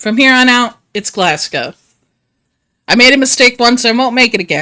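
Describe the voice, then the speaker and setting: A woman with an American accent speaks at a high pitch and moderate pace in a bright, sharp tone with ordinary pitch variation. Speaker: video game streamer. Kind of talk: casual live stream chat. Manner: animated.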